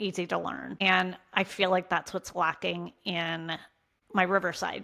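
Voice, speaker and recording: Fairly slowly, a woman talks at medium pitch with a bright, sharp tone. Vocal fry runs through her voice. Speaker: content creator and small business coach. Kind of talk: casual vlog tutorial.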